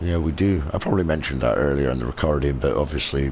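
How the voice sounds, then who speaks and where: With a Scottish accent and a very deep, low pitch, a man talks fairly quickly in a relaxed tone with ordinary pitch variation, over noticeable background noise. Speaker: gaming video creator. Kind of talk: gameplay commentary. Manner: relaxed, rambling.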